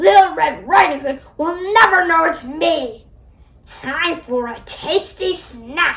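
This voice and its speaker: A put-on character voice from a woman, growling at an extremely high pitch at a fairly slow pace. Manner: snarling, sly.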